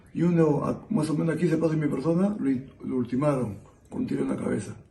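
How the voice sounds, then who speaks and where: Fairly high-pitched male voice, with music in the background and audible room echo. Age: 60s. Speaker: interviewee, witness of terrorism era. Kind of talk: testimony. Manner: halting.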